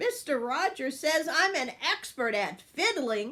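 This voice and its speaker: A woman's put-on character voice, high-pitched, with very wide pitch swings, at a fairly slow pace. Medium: read story. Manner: bright, earnest.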